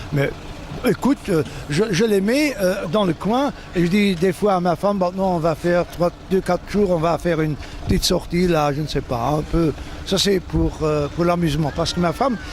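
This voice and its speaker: With music in the background, a man at a high pitch talks at a moderate pace with lively intonation. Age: 60s. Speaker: cycling race announcer, retired teacher. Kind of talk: interview. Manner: halting, many repetitions.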